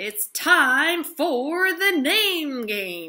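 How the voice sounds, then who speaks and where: This is a put-on character voice. The pitch sits high. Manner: announcing, showy.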